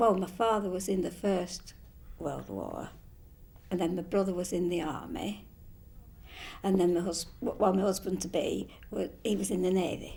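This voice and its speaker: Her medium pitch and dark, mellow tone touched with vocal fry, a woman speaks at a moderate pace with fairly even intonation and long, frequent pauses amid audible room echo. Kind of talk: testimony. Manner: halting.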